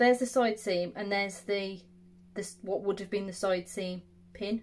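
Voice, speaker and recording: This woman speaks at a moderate pace in an English Midlands accent, her intonation monotone and flat. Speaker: sewing content creator; sewing tutor. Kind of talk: tutorial. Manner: casual, conversational.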